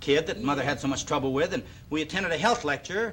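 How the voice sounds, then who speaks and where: A man with a fairly high pitch talks very fast, his intonation lively. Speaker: fitness TV host. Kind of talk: TV show presenting.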